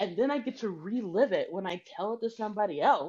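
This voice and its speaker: A woman's voice with vocal fry and very wide pitch swings, over a quiet background. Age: 40s. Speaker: improv comedian. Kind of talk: improvised comedy scene. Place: home room. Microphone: video call.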